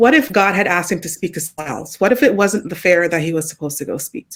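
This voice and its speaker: With a Jamaican accent, a woman talks at a very fast pace. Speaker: podcast guest. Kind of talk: casual chat.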